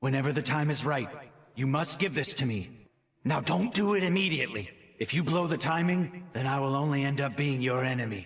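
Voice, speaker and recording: Putting on a character voice, a man talks at a fairly quick pace with a fairly high pitch. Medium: fan dub. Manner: serious, deliberate.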